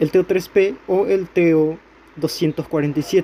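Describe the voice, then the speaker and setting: A man's fairly high voice, fairly slow in pace, with fairly even intonation. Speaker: electronics tutorial youtuber. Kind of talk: tutorial. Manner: halting, self-correcting.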